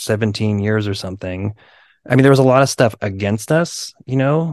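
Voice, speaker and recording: In an unremarkable speaking voice, a man talks at a moderate pace with ordinary pitch variation, against a quiet background and a dry, close sound with no echo. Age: 40s. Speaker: punk band drummer. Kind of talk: casual interview chat.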